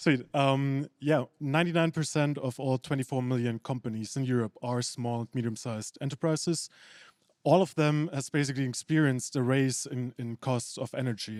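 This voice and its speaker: A man speaks with a German accent at a moderate pace. The recording is very clean, with a silent background and a dry, close sound with no echo. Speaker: startup founder. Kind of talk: pitch. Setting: stage with audience.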